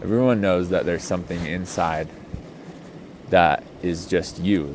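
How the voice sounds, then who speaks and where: A man with a very deep, low pitch is heard through audible room echo and noticeable background noise. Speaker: healing and somatics coach. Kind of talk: casual off-the-cuff talk. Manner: slow; relaxed, hesitant with many ums.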